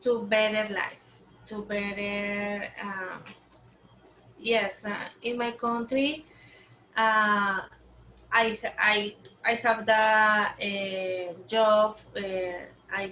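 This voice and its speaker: Very slowly, with long, frequent pauses, a woman speaks in a Spanish accent. Her fairly high voice has a bright, sharp tone and fairly even intonation. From Colombia. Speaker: program intern and teacher. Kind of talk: interview. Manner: halting.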